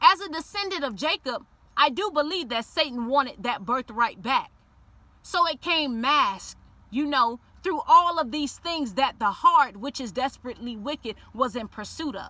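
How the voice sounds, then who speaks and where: A woman's raised, projected voice is high, bright and sharp, animated in tone, with very wide pitch swings and a dry sound with no echo. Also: moderate pace, big swings in loudness. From Miami, Liberty City; Florida. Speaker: YouTuber telling personal faith story. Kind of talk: personal testimony monologue. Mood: earnest, sometimes playful. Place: car. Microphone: phone near.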